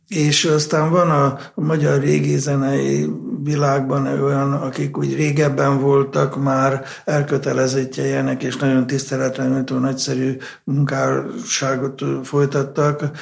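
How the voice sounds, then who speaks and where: Amid noticeable background noise and audible room echo, a man with a fairly high voice talks very slowly in a flat monotone. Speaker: conductor of a baroque ensemble. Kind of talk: interview.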